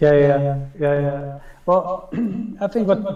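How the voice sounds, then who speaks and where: A man talks at a moderate pace with a Dutch accent and ordinary pitch variation. Noticeable background noise sits behind him. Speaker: photographer and video director. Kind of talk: casual interview conversation. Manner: halting, searching for words.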